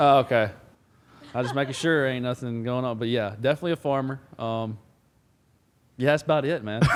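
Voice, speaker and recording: A man with a slight Southern US accent talks at a fairly quick pace in a medium pitch. His intonation is fairly even, broken by long, frequent pauses. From Alabama. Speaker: football player, podcast co-host. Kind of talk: casual chat.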